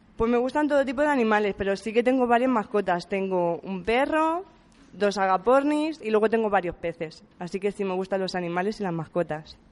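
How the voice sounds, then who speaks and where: At a fairly quick pace, a woman with a normal speaking voice and medium pitch uses lively intonation. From Spain, Puertollano (Castilla-La Mancha). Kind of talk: interview.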